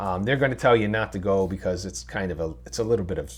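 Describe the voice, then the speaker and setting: A man speaks in a very deep, low pitch with vocal fry. His pitch swings very widely. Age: 60s. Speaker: hiking vlogger. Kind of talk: casual talk to camera. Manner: halting, many fillers.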